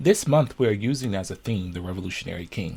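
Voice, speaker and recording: A man speaks at a fairly quick pace. His voice is fairly low and somewhat breathy. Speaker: minister and social justice commentator. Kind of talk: Patreon discussion talking to camera about civil rights.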